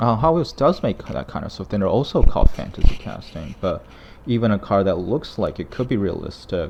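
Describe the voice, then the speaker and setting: A man talks at a fairly quick pace with vocal fry, very wide pitch swings and big swings in loudness. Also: medium pitch for a man. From China. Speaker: toy collector youtuber. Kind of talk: casual product review. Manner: hesitant, many fillers.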